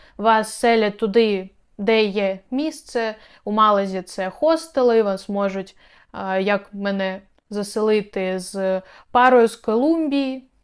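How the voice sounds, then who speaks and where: On a very clean recording with a silent background, a woman speaks very slowly at a fairly high pitch with ordinary pitch variation. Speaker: video blogger and relocation consultant. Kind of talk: informational video tutorial.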